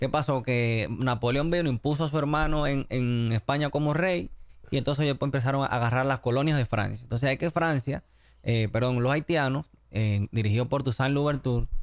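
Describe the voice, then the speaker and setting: A man with a medium pitch talks at a fairly quick pace, his loudness very even and his pitch varying ordinarily. The sound is dry with no echo, over a quiet background. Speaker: diplomat and history enthusiast; podcast guest. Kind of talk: interview. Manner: halting, many fillers. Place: studio. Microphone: studio mic.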